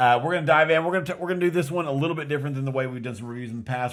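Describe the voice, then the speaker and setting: Speaking with a West Texas accent, a man shows ordinary pitch variation. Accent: mild West Texas American. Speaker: film review podcast co-host. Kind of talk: casual film review chat. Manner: halting, many fillers and restarts.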